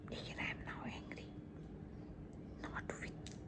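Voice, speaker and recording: Through noticeable noise in the background, a woman's whispered voice comes across. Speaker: ASMR creator. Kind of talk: ASMR roleplay talking to a friend. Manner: calming, reassuring, soft-spoken.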